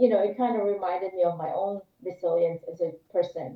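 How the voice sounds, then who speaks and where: This is a normal speaking voice with an American accent, delivered at a moderate pace. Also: woman. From Philippines, Manila, then US from age 13. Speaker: former civil rights lawyer and trekking entrepreneur. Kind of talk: interview.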